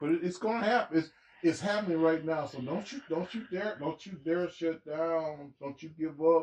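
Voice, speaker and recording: This man talks at a moderate pace in a high voice for a man, with ordinary pitch variation and big swings in loudness. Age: 60s. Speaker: podcast guest, host's uncle. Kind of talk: casual chat. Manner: animated.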